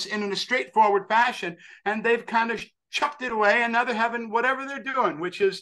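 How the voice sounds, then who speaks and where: A man's raised, projected voice, bright and sharp in tone, with a New York accent. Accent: American (New York). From US Northeast (western New York). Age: 60s. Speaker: actor and author, religious devotee. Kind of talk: interview. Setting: podcast interview. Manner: animated; halting.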